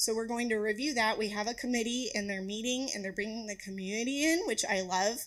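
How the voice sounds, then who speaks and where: Fairly high pitch and ordinary pitch variation in a woman's voice. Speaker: postpartum nurse. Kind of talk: presentation with Q&A. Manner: fast.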